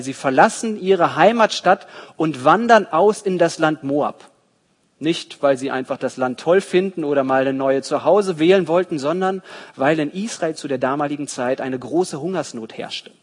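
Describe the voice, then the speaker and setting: With an ordinary speaking voice, the speaker talks at a moderate pace with lively intonation. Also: man. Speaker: preacher. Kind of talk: sermon in church, expository Bible teaching. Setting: church. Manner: didactic, earnest, steady explanatory pace; warm, storytelling, engaging the congregation.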